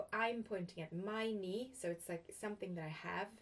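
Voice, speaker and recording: A woman talks at a fairly quick pace with ordinary pitch variation. She has an ordinary speaking voice. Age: 40s. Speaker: podcast host. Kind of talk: casual interview conversation.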